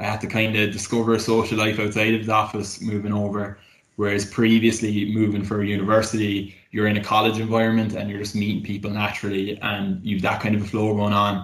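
In a Cork accent, the speaker rattles along at a very fast pace with hardly any pauses and monotone, flat intonation, and audible room echo surrounds the voice. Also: man, fairly low pitch for a man. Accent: Cork Irish. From Cork, Ireland. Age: 20s. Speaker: graduate market executive. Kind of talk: casual chat.

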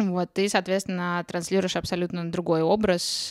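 The very clean recording, with its silent background, captures a woman speaking. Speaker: podcast co-host. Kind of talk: casual interview chat.

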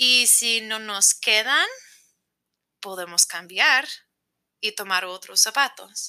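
Speaking at a very slow pace with long, frequent pauses, a woman with an American accent has a fairly high pitch, a bright, sharp tone and ordinary pitch variation. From United States. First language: English (speaking Spanish). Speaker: teacher and motivational coach. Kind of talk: casual interview. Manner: halting, non-native phrasing.

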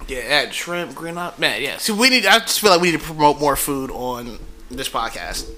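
A high-pitched man talks at a moderate pace with very wide pitch swings. His loudness also swings a lot, and there is noticeable background noise. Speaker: podcast co-host.

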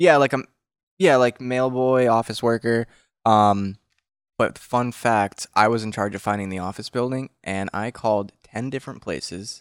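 On a very clean recording with a silent background, a man with a plain, everyday voice speaks at medium pitch, a moderate pace, and ordinary pitch variation. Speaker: podcast co-host, band member. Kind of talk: casual chat.

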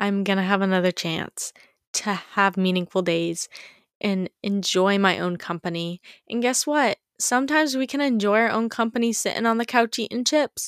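At a moderate pace, a woman talks in an ordinary speaking voice at medium pitch with ordinary pitch variation. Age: 20s. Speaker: podcast host. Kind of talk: casual chat. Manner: casual, filler-heavy.

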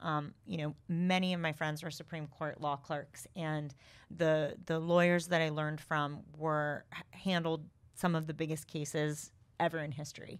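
In an American accent, the speaker keeps a monotone, flat intonation at a moderate pace on a very clean recording with a silent background. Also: woman, very deep, low pitch for a woman. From US West Coast, San Diego. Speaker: former prosecutor, cider brewery owner. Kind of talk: casual interview.

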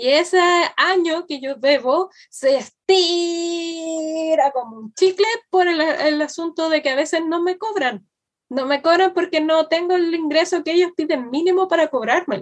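At a fairly slow pace, a woman talks in an extremely high pitch with ordinary pitch variation. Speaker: podcast co-host and teacher. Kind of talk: casual chat.

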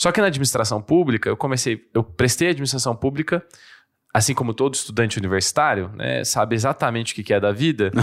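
A man at medium pitch talks at a very fast pace with ordinary pitch variation and very even loudness. The recording is very clean, with a silent background. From interior of São Paulo state, Brazil (São Carlos). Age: 20s. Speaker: politician. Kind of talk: casual interview chat.

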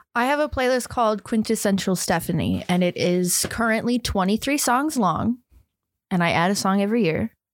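A woman with a normal speaking voice talks at a fairly quick pace, fairly high in pitch and with lively intonation. The recording is very clean, with a silent background. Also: very even loudness. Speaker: recurring guest. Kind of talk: casual chat.

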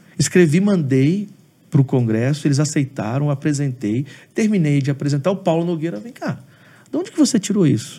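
Somewhat breathy and dark, mellow in tone, a man talks at a fairly quick pace and fairly high pitch with lively intonation. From Brazil, Espírito Santo (Aracruz). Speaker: pastor and theology professor. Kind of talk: interview on theology.

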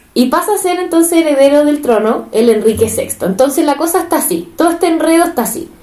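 A woman with a Chilean accent, high-pitched and lively in intonation, at a very fast pace with hardly any pauses. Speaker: podcast co-host. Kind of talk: casual storytelling. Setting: home living room. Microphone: cheap microphone.

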